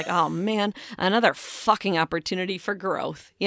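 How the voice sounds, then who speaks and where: A female-sounding, raspy, put-on character voice speaks at a moderate pace and medium pitch. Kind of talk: casual. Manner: sarcastic, dry, exasperated.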